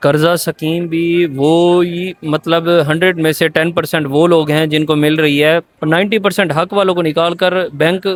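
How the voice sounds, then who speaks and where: His intonation holds fairly even. The man's pitch is high. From Dera Ghazi Khan, Pakistan. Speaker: student. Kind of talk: street interview answer.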